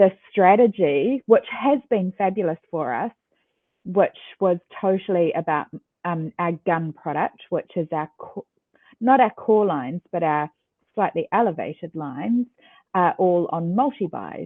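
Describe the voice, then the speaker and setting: A woman talks with a New Zealand accent at a medium pitch. Her intonation is lively and her pace fairly slow. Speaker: ecommerce executive. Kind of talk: interview. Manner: hesitant fillers.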